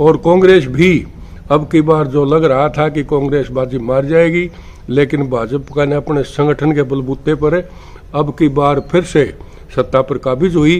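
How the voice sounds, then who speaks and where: Noticeable background noise sits behind the recording. A man talks at a fairly high pitch with fairly even intonation. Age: 70s. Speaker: news channel editor and political commentator. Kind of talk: channel outro appeal; political commentary monologue. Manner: hesitant fillers.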